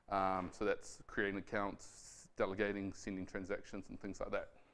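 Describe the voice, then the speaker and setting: A man with a New Zealand accent, fairly low-pitched and at a fairly quick pace, over a quiet background. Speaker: software developer. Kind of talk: tech talk. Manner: fast; hesitant with fillers and repetitions.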